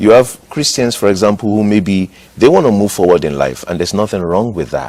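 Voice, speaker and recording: At a fairly quick pace, a man with a Nigerian accent talks in a fairly low pitch with lively intonation. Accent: Nigerian (Yoruba) English. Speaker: pastor. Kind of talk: TV interview.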